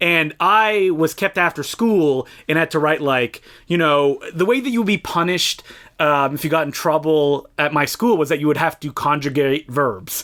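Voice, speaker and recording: A man's fairly high-pitched, bright, sharp voice with a slight French Canadian accent, ordinary pitch variation and a moderate pace. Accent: slight French-Canadian accent on some words. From Eastern Ontario, Canada (Franco-Ontarian, near Ottawa). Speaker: podcast co-host. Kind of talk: casual chat.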